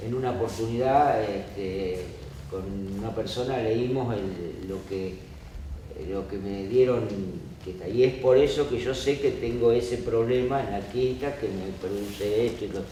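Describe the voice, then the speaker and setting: Amid noticeable background noise and audible room echo, a man talks at a fairly slow pace in a medium pitch with ordinary pitch variation. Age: 60s. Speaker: audience member, worker. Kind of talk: audience question exchange.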